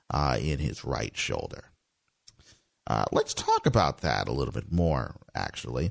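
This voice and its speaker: A man's very deep, low voice with vocal fry, lively intonation, a fairly slow pace and long, frequent pauses. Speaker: radio host. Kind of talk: radio dj patter: scripted-sounding morning news and traffic show, upbeat station-ID style. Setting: radio studio. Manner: brisk, polished, sign-off catchphrases.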